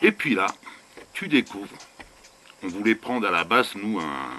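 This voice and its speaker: Moderate-paced male speech over noticeable background noise. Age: 60s. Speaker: vanlife vlogger. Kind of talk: casual rant to camera. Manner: animated; halting.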